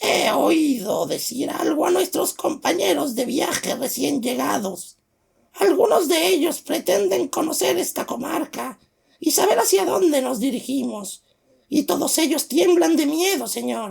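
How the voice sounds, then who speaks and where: A put-on character voice, high-pitched and raspy, at a fairly slow pace. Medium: read story. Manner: formal, deferential.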